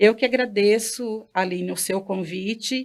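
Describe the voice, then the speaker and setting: At a very slow pace, a woman of medium pitch speaks with fairly even intonation. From Bahia, Brazilian Northeast. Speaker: Candomblé priestess. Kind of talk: interview.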